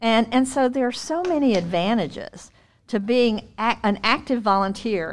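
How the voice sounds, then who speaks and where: At a moderate pace, the speaker uses a normal speaking voice with lively intonation. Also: woman. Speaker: retired special education administrator and consultant. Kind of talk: interview.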